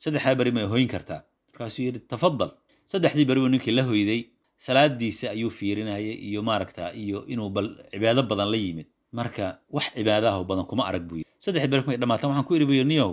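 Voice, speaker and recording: A man with a Somali accent at a very fast pace, medium pitch and ordinary pitch variation, in a very clean recording with a silent background. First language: Somali (speaking Arabic). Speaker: Islamic scholar teaching a text. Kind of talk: religious lesson.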